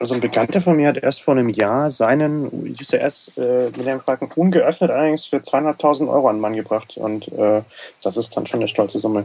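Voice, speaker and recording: A man's ordinary speaking voice at medium pitch, with ordinary pitch variation and a moderate pace. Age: 20s. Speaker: Lego fan community organizer. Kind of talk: casual chat. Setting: studio.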